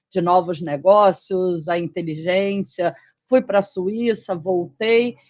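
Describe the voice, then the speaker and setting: Her pitch medium, a woman speaks with a Rio de Janeiro accent. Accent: carioca. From Rio de Janeiro, Brazil. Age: 40s. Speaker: physician and former pharma executive. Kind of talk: interview. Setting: live stream.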